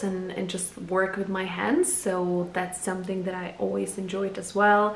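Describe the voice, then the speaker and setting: A woman with a Czech accent speaks at medium pitch and a fairly slow pace, with monotone, flat intonation. Noticeable background noise and audible room echo fill the recording. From Czech Republic. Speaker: photographer and video blogger. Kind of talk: casual personal introduction vlog. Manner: halting, many fillers.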